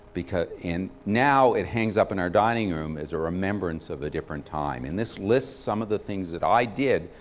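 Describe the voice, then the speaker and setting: The speaker has an American accent and uses lively intonation. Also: man. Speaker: physician and cancer patient advocate. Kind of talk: lecture. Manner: fast.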